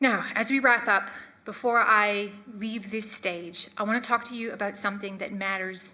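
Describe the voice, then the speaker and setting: Audible room echo surrounds a woman who speaks at a medium pitch and a moderate pace. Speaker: marine scientist. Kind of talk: lecture. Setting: stage with audience. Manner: shaky, emotional.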